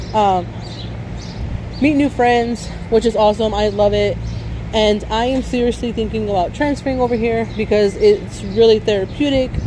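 A woman's dry voice with no echo, long, frequent pauses, and noticeable background noise. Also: moderate pace. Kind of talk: casual vlog chat. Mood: upbeat, enthusiastic. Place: street. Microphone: phone near.

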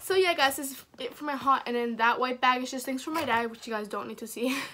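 Her raised, projected voice has a bright, sharp tone and lively intonation. The woman talks at a fairly quick pace. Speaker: vlogger. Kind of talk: casual vlog chat. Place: home room. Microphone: phone near.

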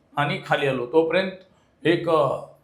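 A man talks with fairly even intonation. Audible room echo surrounds his voice. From Maharashtra, Sangli district. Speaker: traditional tutari player and folk art trainer. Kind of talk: interview.

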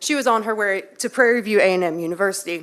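A woman with a slight Texan accent speaks at a medium pitch. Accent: Texas accent, slight. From Texas, Waller County. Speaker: public commenter. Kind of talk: public comment speech. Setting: city council meeting.

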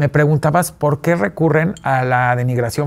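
The pitch of this man's voice moves up and down in a normal way. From Mexico City. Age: 40s. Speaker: businessman and fashion expert; talk show guest. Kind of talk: interview. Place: studio.

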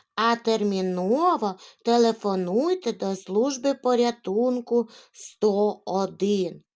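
Pitch moves an ordinary amount. The delivery is an unforced reading voice.

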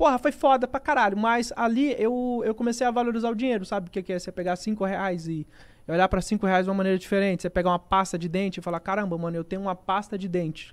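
At a very fast pace and hardly any pauses, a man speaks with a high pitch and ordinary pitch variation. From Brazil, Rondônia. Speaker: gaming content creator. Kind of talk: casual chat. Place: studio. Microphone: studio mic.

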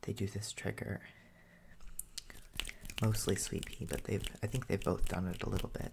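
A gentle whisper moves along at a moderate pace. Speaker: ASMR creator. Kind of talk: casual vlog chat. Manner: soft, gentle ASMR speaking voice. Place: home room. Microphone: studio mic.

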